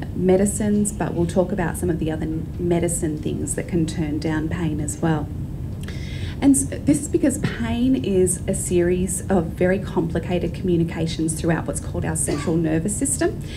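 Woman at a moderate pace over noticeable background noise. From Australia. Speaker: clinical psychologist. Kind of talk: presentation talk. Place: hall. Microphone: handheld.

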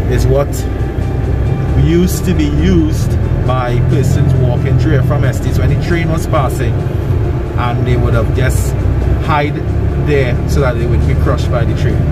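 Music plays in the background as a man speaks at a moderate pace with long, frequent pauses. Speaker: tour guide in car. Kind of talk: casual commentary. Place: car. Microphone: phone near.

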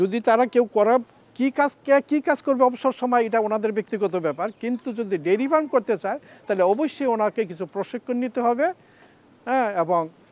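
Sounding dry with no echo, a man speaks at an extremely high pitch with ordinary pitch variation. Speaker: retired civil servant and dairy farmer. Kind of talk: interview testimony. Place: farm machine. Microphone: lapel.

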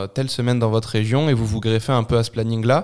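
On a very clean recording with a silent background, a man with a plain, everyday voice speaks at medium pitch, fairly quickly and with fairly even intonation. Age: 20s. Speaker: triathlete and anti-bullying speaker. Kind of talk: interview testimony.

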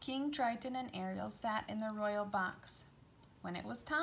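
Pitch variation is ordinary in this unforced reading voice.

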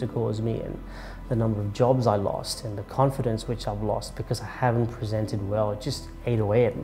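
Against clear music in the background, a man talks at a fairly quick pace with fairly even intonation. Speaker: public speaking coach. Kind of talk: interview answer. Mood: reflective, candid. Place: office.

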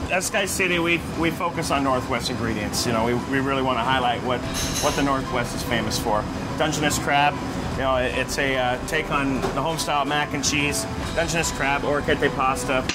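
Loud background noise sits under a man talking at a fairly quick pace with ordinary pitch variation. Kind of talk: interview answer. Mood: cheerful, upbeat. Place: kitchen.

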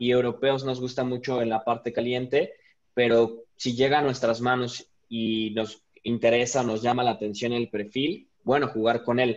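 Fairly slow, monotone, flat speech from a man at medium pitch. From Mexico City. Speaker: craft brewer; panelist. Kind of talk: panel discussion. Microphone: video call.

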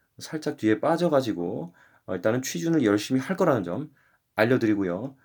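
On a very clean recording with a silent background, a man speaks at a moderate pace in a medium pitch with lively intonation. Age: 20s. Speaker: YouTuber. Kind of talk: casual vlog monologue. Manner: rambling, filler-heavy.

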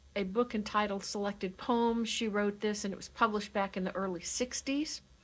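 A woman with a warm tone. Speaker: chaplain. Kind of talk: poetry reading, then prayer. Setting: video message for a senior living community. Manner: slow, measured, warm, reverent; formal, gentle pastoral delivery. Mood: calm, gentle. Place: home room. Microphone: webcam.

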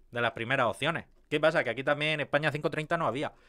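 A man speaks at a fairly high pitch with ordinary pitch variation. The background stays quiet. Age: 30s. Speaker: YouTuber on car maintenance. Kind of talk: casual video commentary. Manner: animated; halting, with many fillers and repetitions. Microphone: studio mic.

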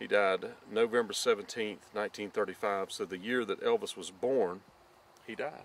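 Speaking at a slow pace, the man has a fairly low pitch and a fairly bright tone.

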